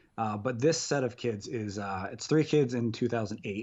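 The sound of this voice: A man speaks at a moderate pace in a slightly mellow tone, medium in pitch with ordinary pitch variation.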